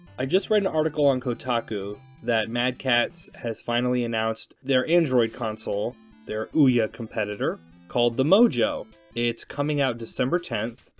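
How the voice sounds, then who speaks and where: With music in the background, a man talks at a moderate pace in a medium pitch with ordinary pitch variation. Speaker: gaming video host. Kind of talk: casual commentary to camera. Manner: quiet.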